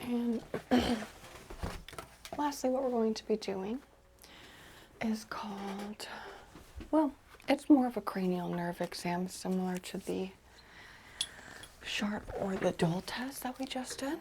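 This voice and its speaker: Whispering and soft-spoken, a woman speaks in a calm tone at a fairly slow pace, with long, frequent pauses. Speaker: chiropractor roleplay ASMR exam host. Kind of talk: real person ASMR roleplay, soft-spoken examination. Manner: soft-spoken, calm, whispered instructions.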